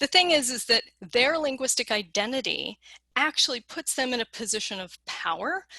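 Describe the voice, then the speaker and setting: A woman with a Western American accent has a bright, sharp tone, recorded with a dry, close sound and no echo. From Colorado, US West. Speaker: lexicographer, keynote speaker. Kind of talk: keynote lecture. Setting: conference keynote.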